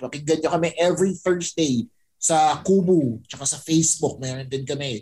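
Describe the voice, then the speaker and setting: Here is a man with a fairly high pitch and a normal speaking voice. He goes at a fairly slow pace with ordinary pitch variation. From Philippines, Pampanga. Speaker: podcaster. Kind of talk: casual chat.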